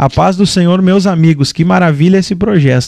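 This man has a plain, everyday voice. He talks at a moderate pace with fairly even intonation. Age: 20s. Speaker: podcast host. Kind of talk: casual chat.

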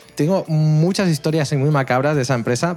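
With a normal speaking voice, a man talks at a fairly quick pace in a fairly high pitch with ordinary pitch variation. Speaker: tech content creator. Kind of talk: casual chat.

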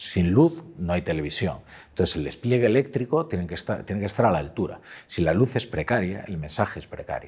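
A man talks in a fairly low, somewhat breathy voice with very wide pitch swings. The recording is very clean, with a silent background. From Galicia, Pontevedra. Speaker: journalist and columnist. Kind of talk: interview conversation.

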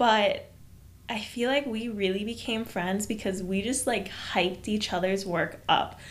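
A woman's fairly slow speech with ordinary pitch variation and audible room echo. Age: 20s. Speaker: podcast co-host, photographer. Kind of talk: casual chat.

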